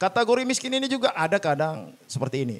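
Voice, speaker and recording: A man speaks with a Medan accent at a very fast pace. His pitch swings very widely. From Indonesia, Medan (North Sumatra). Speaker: labor activist and party candidate. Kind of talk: podcast interview. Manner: halting, many fillers.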